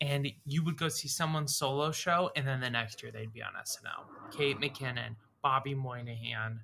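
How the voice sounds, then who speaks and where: A man speaks at a moderate pace with a fairly high pitch and fairly even intonation. Noticeable background noise runs behind him. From US South, Boca Raton, Florida. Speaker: actor and improv comedian. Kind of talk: casual chat.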